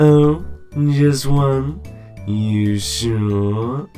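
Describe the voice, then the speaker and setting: A low-pitched, put-on character voice is heard. Clear music plays in the background. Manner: flirtatious, theatrical.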